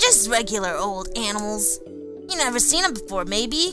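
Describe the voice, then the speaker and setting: Clear music plays in the background. Someone talks in a put-on character voice at a moderate pace. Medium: game stream. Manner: casual, friendly.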